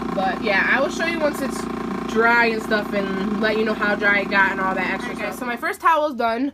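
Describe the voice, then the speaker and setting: A woman talks at a fairly quick pace in a fairly high pitch with ordinary pitch variation, with audible room echo and noticeable background noise. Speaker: product reviewer. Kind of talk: casual product review demo. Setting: home kitchen. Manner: casual, filler-heavy; raised voice over machine noise.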